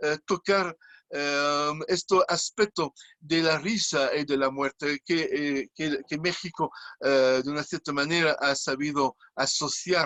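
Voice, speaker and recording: The man's voice shows ordinary pitch variation. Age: 60s. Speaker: clown. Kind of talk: interview. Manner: halting.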